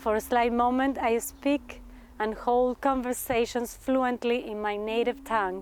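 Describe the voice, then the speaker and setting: Speaking at a fairly slow pace, a woman with a Spanish accent holds a fairly high pitch in a monotone, flat intonation. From Argentina. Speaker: performance artist and graduate student. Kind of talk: reading aloud a thesis presentation. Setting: graduate talks event.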